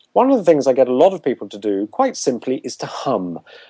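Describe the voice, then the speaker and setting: Speaking in a southern English accent, a man has a dark, mellow tone at medium pitch, very wide pitch swings and a moderate pace. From southern England. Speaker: public speaking and voice coach. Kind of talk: interview.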